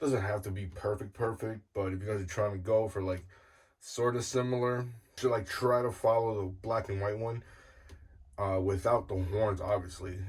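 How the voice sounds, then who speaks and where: Somewhat breathy and fairly low-pitched, a man speaks at a moderate pace. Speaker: guitar builder youtuber. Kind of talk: tutorial. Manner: casual, filler-heavy.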